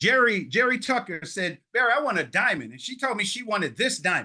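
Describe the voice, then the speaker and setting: Extremely high-pitched man with a New York accent, a raised, projected voice, a bright, sharp, animated tone, lively intonation, and a fairly quick pace. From New York (Harlem). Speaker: public speaking trainer, storyteller. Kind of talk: workshop talk.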